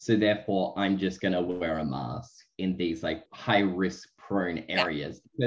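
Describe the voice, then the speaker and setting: A man speaks with an Australian accent. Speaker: podcast co-host. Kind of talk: casual chat.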